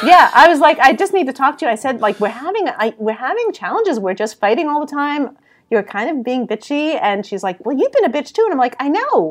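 With a New York accent, a woman speaks in a high pitch. Her pitch swings very widely. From New York City. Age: 60s. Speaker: creative business consultant. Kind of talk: interview. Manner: direct.

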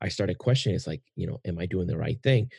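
A man's somewhat breathy voice, dark and mellow in tone, with a dry, close sound with no echo and a quiet background. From Puerto Rico. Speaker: podcast host. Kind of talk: casual interview conversation.

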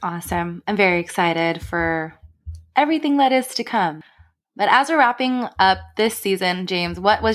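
On a very clean recording with a silent background, a woman with an ordinary speaking voice at medium pitch talks at a moderate pace with lively intonation. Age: 30s. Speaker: podcast co-host, healthcare professional. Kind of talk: casual chat.

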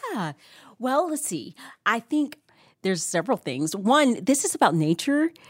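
A woman with an American accent speaks at a moderate pace, her fairly high voice swinging very widely in pitch, with vocal fry and long, frequent pauses. The recording is very clean, with a silent background and a dry, close sound with no echo. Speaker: author and editor. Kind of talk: casual chat about scripture.

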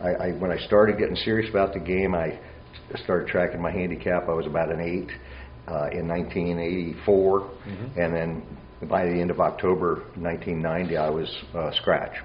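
There is noticeable background noise as a man with an American accent speaks. His pitch is very deep and low, and his pace is moderate. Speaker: amateur golfer and junior golf coach. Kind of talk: casual interview chat.

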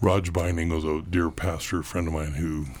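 Very deep and low in pitch, a man speaks somewhat breathily at a fairly slow pace with monotone, flat intonation. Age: 70s. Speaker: retiring pastor. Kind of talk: casual chat.

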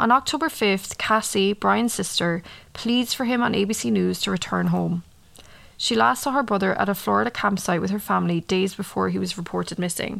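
A woman speaks with an Irish accent at a moderate pace. The recording is very clean, with a silent background. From Ireland. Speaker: true crime podcaster. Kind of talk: casual monologue and case narration. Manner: casual with frequent fillers.

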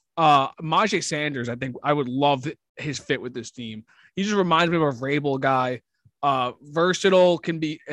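Over a quiet background, a man in a normal speaking voice talks at a moderate pace with fairly high pitch and ordinary pitch variation, the sound dry and close with no echo. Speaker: sports podcast co-host. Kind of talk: casual chat.

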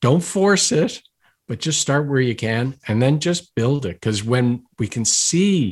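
Against a quiet background, a man with a Maritime Canadian accent speaks with lively intonation. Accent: Maritimes Canadian. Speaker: gratitude expert and author. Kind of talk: interview conversation.

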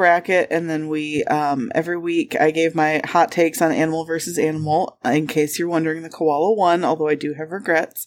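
A woman talks with a Michigan accent. Her pitch is fairly low. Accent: Michigan, US Upper Midwest. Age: 30s. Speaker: podcast co-host. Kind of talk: casual chat.

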